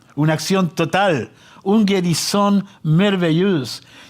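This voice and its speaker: A man's high-pitched voice. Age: 70s. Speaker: pastor. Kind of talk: sermon.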